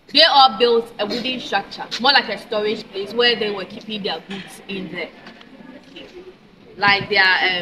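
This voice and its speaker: There is noticeable background noise. A woman speaks at a medium pitch with fairly even intonation. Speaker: tour guide. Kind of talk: guided tour explanation. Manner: fast.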